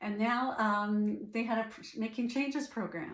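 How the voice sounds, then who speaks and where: A somewhat breathy voice with a Canadian accent and audible room echo. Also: woman. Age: 60s. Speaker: life coach. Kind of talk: personal story monologue. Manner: hesitant, many fillers.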